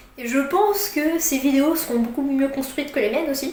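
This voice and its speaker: A woman speaks with a high pitch. Noticeable background noise and audible room echo fill the recording. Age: 20s. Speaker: YouTuber. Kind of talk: casual vlog explainer. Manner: halting, many fillers.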